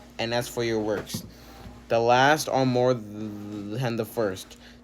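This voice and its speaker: Over noticeable background noise, a man speaks at a very slow pace and medium pitch with fairly even intonation. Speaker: bible reading video host. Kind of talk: reading aloud. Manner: halting, stumbles over words; many filler words.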